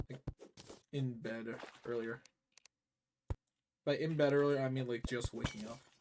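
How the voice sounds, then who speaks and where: Quiet speech moves at a moderate pace with long, frequent pauses. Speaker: video game streamer. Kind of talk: live gameplay stream chat. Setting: live stream. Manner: casual, filler-heavy.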